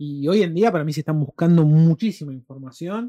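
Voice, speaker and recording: Speaking in a Rioplatense accent, a man with a fairly high pitch, ordinary pitch variation, and a dark, mellow tone keeps a moderate pace in a dry, close sound with no echo. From Argentina. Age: 30s. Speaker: podcast co-host and film reviewer. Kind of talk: casual chat.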